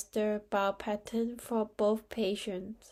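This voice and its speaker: The delivery is monotone, with flat intonation. The tone is dark and mellow. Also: woman. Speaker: nurse. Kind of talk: exam tutorial talk to camera.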